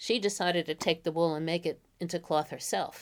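Her voice fairly low in pitch, a woman talks with a New York accent. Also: very clean recording, silent background. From the Bronx, New York. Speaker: college professor of medieval literature. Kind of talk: interview about literature.

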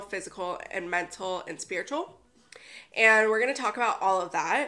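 A woman speaks loudly at a fairly quick pace with a fairly high pitch. Her tone is bright and sharp, and her intonation is lively. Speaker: wellness podcaster. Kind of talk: casual monologue. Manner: giggly.

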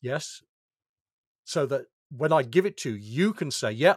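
At a moderate pace and with lively intonation, a man is heard dry and close with no echo on a very clean recording with a silent background. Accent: British. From United Kingdom. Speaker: information security executive. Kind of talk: interview.

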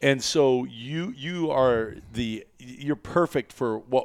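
A plain, everyday voice with ordinary pitch variation is heard in a very clean recording with a silent background. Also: man. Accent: American. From US Midwest (northeastern Iowa). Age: 50s. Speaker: podcast host, hunting outfitter. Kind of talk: casual chat. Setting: studio.

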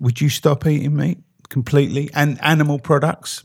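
The voice is somewhat breathy, at a moderate pace. The recording is very clean, with a silent background. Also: man. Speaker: podcast host. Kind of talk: casual chat.

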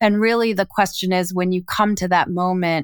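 A woman talks in a normal speaking voice at fairly low pitch, with fairly even intonation. The sound is dry and close with no echo, on a very clean recording with a silent background. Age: 50s. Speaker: executive coach and author. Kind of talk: casual chat.

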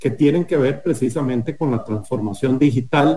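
Against noticeable background noise, a man talks with ordinary pitch variation. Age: 50s. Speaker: company executive. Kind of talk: radio interview. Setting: remote connection.

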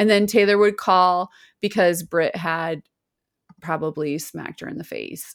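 An ordinary speaking voice moves at a fairly slow pace with ordinary pitch variation and big swings in loudness. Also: woman, fairly low pitch for a woman. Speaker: podcast co-host. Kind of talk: casual chat. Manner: laughs often, chatty.

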